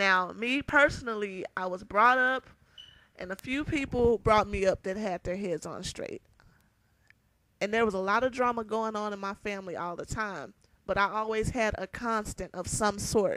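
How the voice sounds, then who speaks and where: A woman speaks loudly, in a bright, sharp tone at a fairly high pitch with ordinary pitch variation. Her pace is moderate, and the sound is dry and close with no echo. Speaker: vlogger. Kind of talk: vlog rant.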